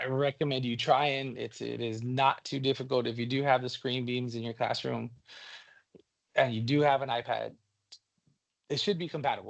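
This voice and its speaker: A man's medium-pitched voice with fairly even intonation, long and frequent pauses, and a quiet background. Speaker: teacher leading a training session. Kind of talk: workshop presentation. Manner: fast; casual, with fillers and repetitions.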